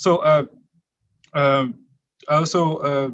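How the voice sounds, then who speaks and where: A man is speaking. He has a non-native accent. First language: not English. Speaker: member of the public testifying. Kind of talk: public hearing testimony. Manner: halting, many fillers.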